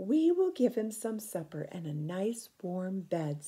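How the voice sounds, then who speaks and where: A woman's put-on character voice, medium in pitch, at a fairly slow pace with lively intonation and big swings in loudness. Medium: read story. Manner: warm, motherly.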